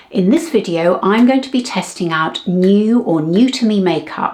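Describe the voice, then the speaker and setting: A woman's voice amid noticeable background noise. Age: 70s. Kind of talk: casual talk to camera.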